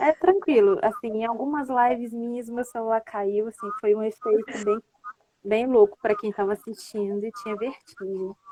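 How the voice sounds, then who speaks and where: Soft-spoken and at a moderate pace, the voice shows ordinary pitch variation and big swings in loudness, with a dry, close sound and no echo. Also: woman, fairly high pitch for a woman. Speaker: live stream host. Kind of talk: casual chat. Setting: live video call.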